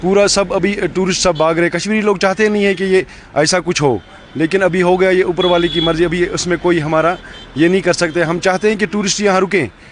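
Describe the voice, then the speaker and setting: Amid noticeable background noise, a man with a high pitch speaks at a moderate pace, keeping fairly even intonation and very even loudness. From Kashmir. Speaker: local resident interviewed. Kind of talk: street interview. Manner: halting.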